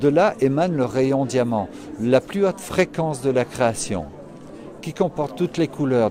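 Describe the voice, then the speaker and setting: At a fairly slow pace, a man with a medium pitch and lively intonation speaks over noticeable background noise. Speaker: spiritual therapist and yoga teacher. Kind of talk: interview. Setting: trade fair stand.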